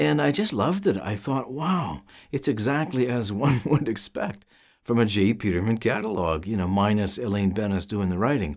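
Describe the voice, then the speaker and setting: A man with a normal speaking voice talks at a moderate pace, his fairly low pitch carried by lively intonation on a very clean recording with a silent background. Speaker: voice actor. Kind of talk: casual talk to camera.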